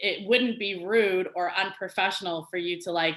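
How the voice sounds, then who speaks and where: A woman speaks loudly in a bright, sharp tone at medium pitch. Her pace is moderate, with ordinary pitch variation. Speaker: communication coach panelist. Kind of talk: virtual panel presentation. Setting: video call.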